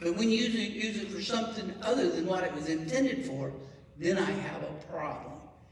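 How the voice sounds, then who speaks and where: Amid clear background noise and an audible echo off the room, a man speaks fairly quickly. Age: 60s. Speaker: county commission candidate. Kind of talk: candidate forum answers.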